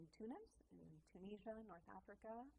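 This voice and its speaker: A woman speaks with a Minnesota accent. Her tone is dark and mellow. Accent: Upper Midwest US (Minnesota). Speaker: music teacher, tour guide, artist. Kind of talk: casual interview chat.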